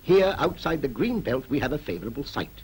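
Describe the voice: A man speaks at a moderate pace. His tone is slightly mellow.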